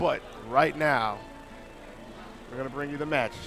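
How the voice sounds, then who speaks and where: Over noticeable background noise, a man with a fairly high pitch speaks at a fairly quick pace and keeps his intonation fairly even. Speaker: esports commentator. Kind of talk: live commentary. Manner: loud.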